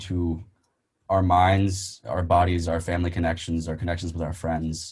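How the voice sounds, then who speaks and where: A dark, mellow tone, somewhat breathy, delivered at a fairly quick pace. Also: man. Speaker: musician, singer and rapper. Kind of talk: casual chat.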